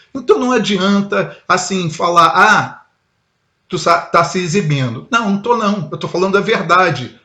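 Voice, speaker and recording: With a raised, projected voice, a man of high pitch sounds bright, sharp and animated, using ordinary pitch variation at a fairly slow pace. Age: 60s. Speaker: heavy metal musician. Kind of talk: casual talk to camera.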